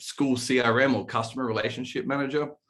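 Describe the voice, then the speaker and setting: A man speaks with an Australian accent. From Australia, east coast. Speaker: sales manager at a school software company. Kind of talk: podcast interview.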